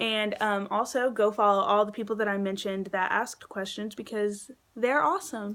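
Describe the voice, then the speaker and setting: Speaking at a moderate pace, a woman has an ordinary speaking voice, fairly high in pitch, with fairly even intonation. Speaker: book vlogger. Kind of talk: casual Q&A vlog.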